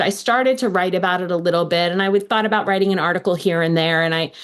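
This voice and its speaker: A woman at a medium pitch with ordinary pitch variation, at a very fast pace over noticeable background noise. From United States. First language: Hebrew. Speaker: law professor. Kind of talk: interview.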